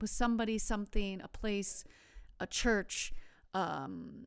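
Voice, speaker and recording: This woman has an American accent and speaks at a fairly slow pace. The recording is very clean, with a silent background. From United States. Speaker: travel podcast host. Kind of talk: solo podcast talk. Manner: halting, many repeated words.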